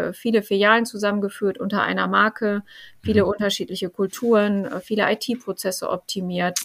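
A woman speaks at a moderate pace in a medium pitch, on a very clean recording with a silent background. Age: 40s. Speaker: finance executive. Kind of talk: interview. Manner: hesitant with frequent fillers.

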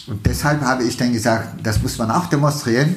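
With a Turkish accent, a man speaks with ordinary pitch variation amid noticeable background noise and audible room echo. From Turkey, Istanbul. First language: Turkish (speaking German). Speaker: state politician. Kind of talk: interview. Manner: halting, many fillers.

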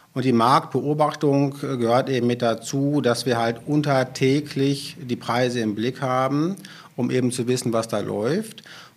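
Fairly slow and with fairly even intonation, this is a normal speaking voice. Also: man, medium pitch for a man. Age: 40s. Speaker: utility sales manager. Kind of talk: podcast interview.

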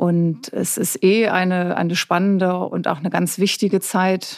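A woman with an ordinary speaking voice and a medium pitch speaks at a fairly slow pace with fairly even intonation, on a very clean recording with a silent background. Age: 50s. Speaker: journalist. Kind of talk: casual interview.

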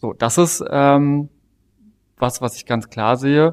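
The recording is very clean, with a silent background and a dry, close sound free of echo. A man speaks with ordinary pitch variation. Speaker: politician. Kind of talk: interview.

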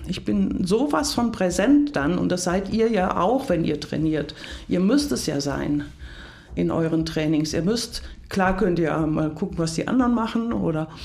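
In a room with audible echo, the speaker moves at a fairly slow pace with very wide pitch swings. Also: woman. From Hunsrück, western Germany. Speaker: leadership coach. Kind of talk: podcast interview.

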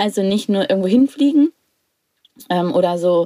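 A woman's dark, mellow voice at medium pitch and a moderate pace, with very wide pitch swings, in a dry, close sound with no echo. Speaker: podcast co-host. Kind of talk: casual interview. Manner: restrained, controlled; hesitant, many fillers.

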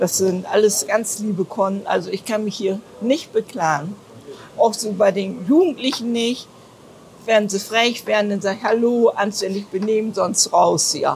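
Noticeable background noise sits under speech that moves at a fairly slow pace, with ordinary pitch variation and long, frequent pauses. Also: woman. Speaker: retired toilet attendant. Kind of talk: interview. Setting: store restroom entrance.

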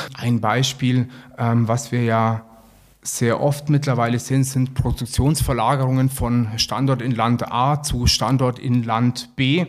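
A man's very slow, monotone delivery at medium pitch, flat in intonation and very even in loudness, on a very clean recording with a silent background. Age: 40s. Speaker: sales executive. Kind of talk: interview.

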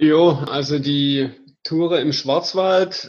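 Against a quiet background, a man with a fairly high pitch speaks with fairly even intonation. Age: 30s. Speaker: hiking tour organizer. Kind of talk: interview.

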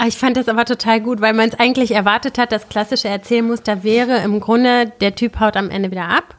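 An ordinary speaking voice from a woman, fairly high in pitch, fairly quick, fairly even in intonation, with hardly any pauses. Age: 30s. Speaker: filmmaker and producer. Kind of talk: casual chat.

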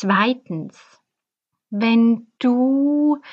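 A woman's fairly high voice with ordinary pitch variation against a quiet background. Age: 40s. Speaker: fertility coach and podcast host. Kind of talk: personal storytelling monologue; advice to listeners.

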